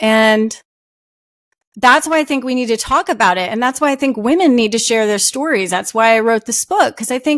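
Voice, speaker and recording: A woman's high-pitched voice at a moderate pace, with lively intonation. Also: very clean recording, silent background. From New Jersey. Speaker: author. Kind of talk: interview. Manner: halting; loud. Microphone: audio is good.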